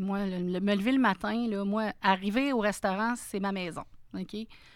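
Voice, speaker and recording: A woman with an unremarkable speaking voice talks at a fairly slow pace. Her medium pitch follows a fairly even intonation. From Quebec, Sainte-Thérèse area north of Montreal. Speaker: restaurant franchise owner. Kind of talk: interview conversation.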